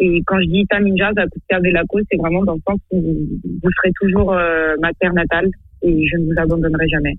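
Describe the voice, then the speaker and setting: A woman talks at a moderate pace in a fairly low voice. Her intonation is flat and monotone. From Madagascar. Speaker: singer. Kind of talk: radio interview.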